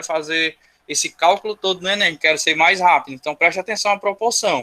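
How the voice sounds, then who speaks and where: A man's raised, projected voice rings out at a high pitch with a bright, sharp tone. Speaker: school teacher. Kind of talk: online class lecture.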